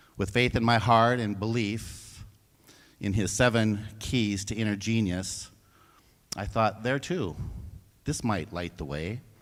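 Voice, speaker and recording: Audible room echo surrounds a man with a fairly low voice and ordinary pitch variation. He speaks at a fairly slow pace with long, frequent pauses. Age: 60s. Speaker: church member giving a stewardship talk. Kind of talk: church talk. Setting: church service livestream.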